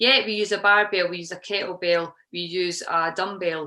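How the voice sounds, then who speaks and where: A woman speaks with a Scottish accent at a moderate pace. Her tone is bright and sharp. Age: 50s. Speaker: CrossFit coach. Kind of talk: podcast interview answer.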